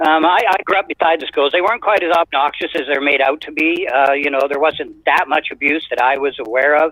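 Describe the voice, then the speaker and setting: At a fairly quick pace, a man with a western Canadian accent speaks at a fairly high pitch with ordinary pitch variation. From Canada, British Columbia (Sechelt). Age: 70s. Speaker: caller. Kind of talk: call-in opinion.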